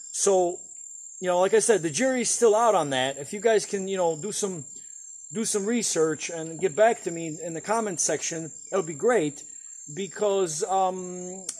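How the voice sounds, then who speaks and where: High-pitched male voice with ordinary pitch variation, over noticeable background noise. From Eastern Europe, Poland. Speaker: vlogger. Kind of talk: casual vlog cooking tutorial. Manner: halting, many fillers and repetitions.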